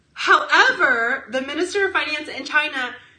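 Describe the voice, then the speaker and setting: The voice is raised and projected, with an animated tone and very wide pitch swings. Noticeable background noise sits behind it. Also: woman. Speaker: comedian; podcast co-host. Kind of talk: casual chat. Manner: loud.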